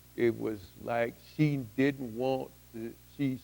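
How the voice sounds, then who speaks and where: This man has a dark, mellow tone, a medium pitch and ordinary pitch variation. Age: 60s. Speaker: testimony speaker. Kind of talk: testimony. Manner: halting.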